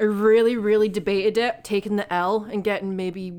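At a fairly quick pace, a woman speaks in an ordinary speaking voice. Her pitch is medium and her intonation fairly even. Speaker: podcast co-host. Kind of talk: casual banter, crude comedy chat.

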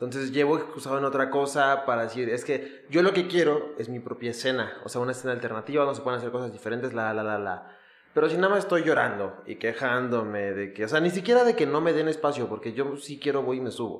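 Amid noticeable background noise, a man with a medium-pitched voice talks very fast with hardly any pauses and ordinary pitch variation. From Mexico (Ecatepec, State of Mexico). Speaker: podcast host, comedian and DJ. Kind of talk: casual chat.

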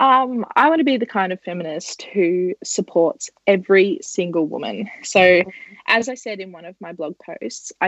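A woman's medium-pitched voice with an Australian accent. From Australia, northeast Victoria. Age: 20s. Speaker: journalist and feminist blogger. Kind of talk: podcast interview.

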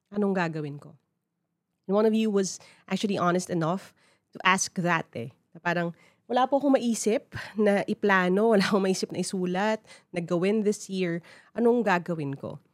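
A woman in a Filipino accent speaks at medium pitch with ordinary pitch variation and big swings in loudness, in a dry, close sound with no echo. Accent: Filipino English, Taglish code-switching. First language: Tagalog. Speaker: podcast host. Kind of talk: solo podcast monologue. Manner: conversational, casual.

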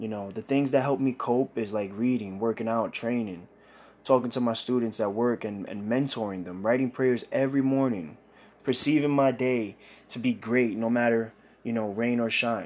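Intonation stays fairly even as a man with a New York accent speaks at a medium pitch. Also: moderate pace. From Brooklyn, New York (Bushwick). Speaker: podcast host. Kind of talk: personal testimony monologue.

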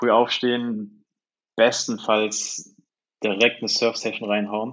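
A man talks at a very slow pace in a medium pitch. His intonation is flat and monotone. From Cologne area, Germany. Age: 20s. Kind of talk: casual chat.

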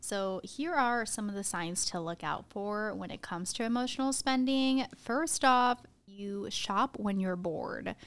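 A woman with an American accent talks in a normal speaking voice, fairly high in pitch, with lively intonation. Her pace is fairly slow with hardly any pauses, and the recording is very clean against a silent background. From Arizona, US. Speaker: podcast co-host. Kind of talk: casual chat.

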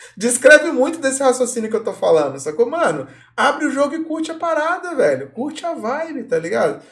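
The speaker talks at a fairly quick pace. Pitch varies in an ordinary way. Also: man. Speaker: podcast host. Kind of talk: casual chat. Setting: live stream.

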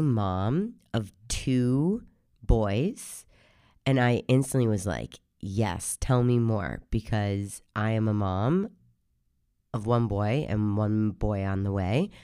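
A woman speaks slowly at an extremely low pitch, her tone dark and mellow yet clear and smooth, with a hoarse edge. Her intonation is lively, and the recording is very clean against a silent background.

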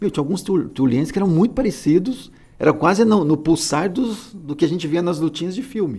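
A man is speaking. His voice carries vocal fry. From interior of Alagoas, Brazil, moved to São Paulo at age 8. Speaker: podcast co-host, kung fu practitioner. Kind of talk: casual chat.

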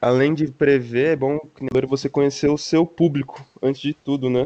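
A man speaks at a fairly high pitch with a dark, mellow tone. His intonation is monotone and flat. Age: 20s. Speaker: university student. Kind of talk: casual chat.

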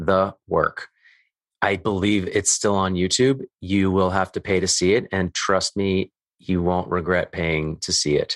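This man has a very deep, low voice and a Western Canadian accent. He speaks at a fairly slow pace with fairly even intonation, and the sound is dry and close with no echo. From Canadian prairies (Calgary, Alberta). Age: 30s. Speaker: men's work coach and podcaster. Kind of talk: casual interview conversation.

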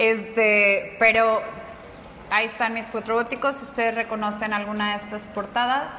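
A woman speaks at a moderate pace with fairly high pitch. Her intonation is monotone and flat, with audible room echo. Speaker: comic artist and manga teacher. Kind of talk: casual interview.

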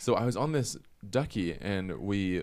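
Here is a plain, everyday voice: a man with an American accent and a fairly low pitch. His intonation is lively. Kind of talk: casual chat.

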